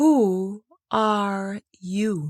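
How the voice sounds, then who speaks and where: A put-on character voice, female-sounding, pitched in the medium range for a woman. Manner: languid, sleepy, unhurried.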